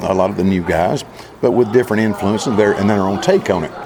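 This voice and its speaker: A Southern US accent amid noticeable background noise and audible room echo. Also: man. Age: 60s. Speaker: country singer. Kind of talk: interview.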